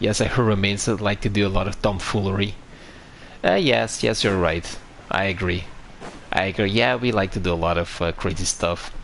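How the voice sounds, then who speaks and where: A man speaks at a fairly low pitch and a fairly quick pace, with ordinary pitch variation and long, frequent pauses. Noticeable background noise runs underneath. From Romania. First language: Romanian. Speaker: video game streamer. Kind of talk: live gameplay stream chat. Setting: live stream, talking to chat. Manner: halting, frequent fillers and restarts; relaxed, chill.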